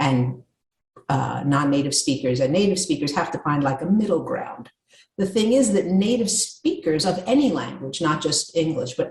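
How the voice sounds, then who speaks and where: Somewhat breathy, a woman with an American accent talks at a moderate pace in a medium pitch, her pitch swinging very widely. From New York. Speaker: communication coach. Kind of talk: interview.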